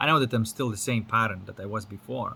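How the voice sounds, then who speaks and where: Speaking at a fairly quick pace, a man has a fairly low pitch, ordinary pitch variation and a bright, sharp tone. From Lithuania. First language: Lithuanian. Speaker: spiritual teacher. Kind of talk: casual monologue. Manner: casual with frequent fillers and repetitions.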